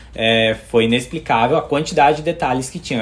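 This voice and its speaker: At a moderate pace, a man speaks in a somewhat breathy voice at medium pitch with ordinary pitch variation. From Brazil. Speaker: architect, theme park fan. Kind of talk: casual chat.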